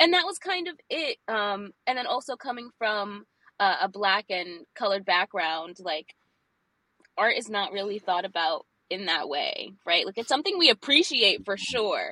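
Heard dry and close with no echo, a woman with an American accent speaks at a moderate pace in a medium pitch and a bright, sharp tone. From New York City, Brooklyn. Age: 20s. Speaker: graphic designer and illustrator. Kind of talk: interview, casual chat.

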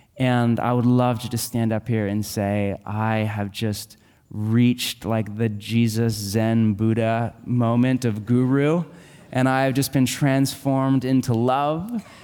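Music plays behind a man speaking at a very slow pace. His medium pitch carries fairly even intonation. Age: 30s. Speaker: pastor. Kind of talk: sermon. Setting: church.

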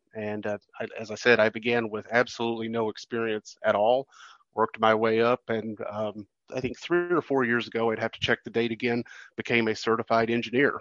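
A man with an unremarkable speaking voice talks at a fairly quick pace, the sound dry and close with no echo. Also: medium pitch for a man, fairly even intonation. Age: 50s. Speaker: railroad museum publicity director. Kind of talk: interview.

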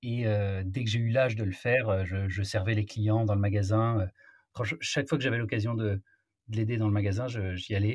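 Pausing long and often, a man speaks at a moderate pace in a fairly low, somewhat breathy voice. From Marseille, southern France. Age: 30s. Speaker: entrepreneur. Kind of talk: interview conversation. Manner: hesitant, frequent repetitions.

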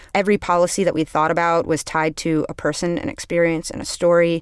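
In a plain, everyday voice, a woman talks at a fairly quick pace with fairly even intonation. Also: very clean recording, silent background. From New York City. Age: 30s. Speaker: public defender and former DA candidate. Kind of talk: interview.

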